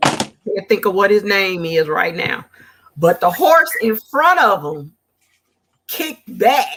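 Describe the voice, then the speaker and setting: In a Southern US accent, a woman of medium pitch speaks at a very slow pace with long, frequent pauses. Her pitch swings are very wide. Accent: Southern-tinged. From Gary, Indiana. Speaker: guest crafter, custom apparel maker. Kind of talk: casual chat.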